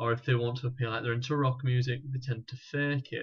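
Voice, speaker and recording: The man's voice has a medium pitch. It stays monotone and flat. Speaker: personal stylist. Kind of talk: live Q&A. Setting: live stream. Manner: hesitant, with fillers and restarts.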